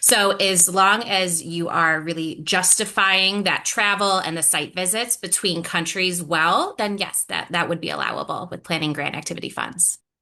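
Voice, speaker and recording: This is a plain, everyday voice that moves at a moderate pace with fairly even intonation and hardly any pauses. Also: woman, medium pitch for a woman. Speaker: grant program staff. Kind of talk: webinar Q&A.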